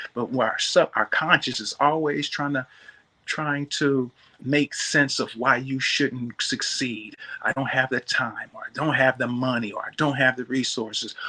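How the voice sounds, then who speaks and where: In a normal speaking voice, a man with an American accent speaks at medium pitch and a fairly slow pace. His intonation is fairly even, and the sound is dry and close with no echo. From Michigan, US Midwest. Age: 60s. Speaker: natural bodybuilder and minister. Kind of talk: interview, motivational testimony. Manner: preacherly, exhortative.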